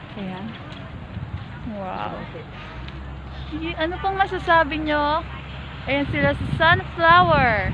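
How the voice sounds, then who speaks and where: Speaking at a very slow pace with long, frequent pauses, a woman is heard over noticeable background noise and audible room echo. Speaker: vlogger. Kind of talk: travel vlog narration. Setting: outdoors, flower garden. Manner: animated. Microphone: voice muffled by face mask, quiet.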